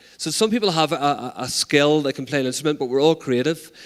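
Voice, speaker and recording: Very fast speech comes from a man with a Northern Irish accent and ordinary pitch variation. The recording is very clean, with a silent background. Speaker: arts peacebuilding organiser. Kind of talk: conference talk. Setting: stage with audience. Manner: animated.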